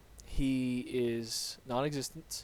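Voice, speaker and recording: A man mumbles quietly at a medium pitch. His intonation is monotone and flat. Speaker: gaming YouTuber. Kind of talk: gameplay commentary. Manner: mumbling.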